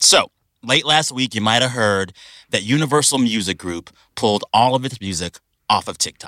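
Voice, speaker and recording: A man's bright, sharp voice at a moderate pace, with a dry, close sound with no echo. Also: medium pitch for a man, ordinary pitch variation. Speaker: podcast host. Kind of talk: casual chat. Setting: studio. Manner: animated.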